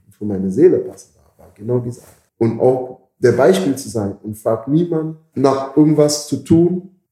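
This man's voice is somewhat breathy and sits at a medium pitch. His tone is dark and mellow. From Caribbean. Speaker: bouncer and security business owner. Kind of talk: interview conversation. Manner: halting.

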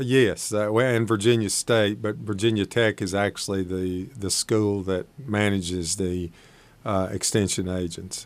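With an Appalachian accent, a man of fairly low pitch speaks at a fairly slow pace. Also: fairly even intonation. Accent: Appalachian Southern US. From East Tennessee (Shady Valley). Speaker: agricultural extension agent. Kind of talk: radio interview.

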